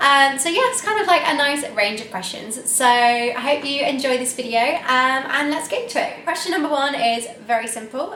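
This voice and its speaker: A woman at a moderate pace with ordinary pitch variation, audible room echo and noticeable background noise. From England, Nottingham. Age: 20s. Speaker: lifestyle vlogger. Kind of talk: casual chat.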